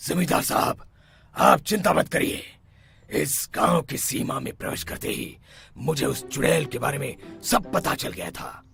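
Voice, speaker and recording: Using a cartoonish character voice, a man speaks at a moderate pace with a fairly high pitch and lively intonation. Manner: authoritative.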